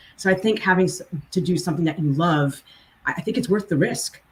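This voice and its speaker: Over noticeable background noise, a woman with a fairly low voice speaks at a very fast pace. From New Jersey, Hunterdon County. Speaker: legal recruiter, lawyer. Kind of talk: podcast interview.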